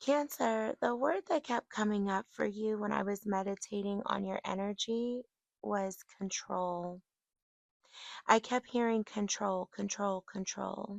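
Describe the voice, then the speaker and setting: A woman's medium-pitched voice moves at a fairly slow pace, showing ordinary pitch variation. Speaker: tarot reader. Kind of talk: tarot reading monologue.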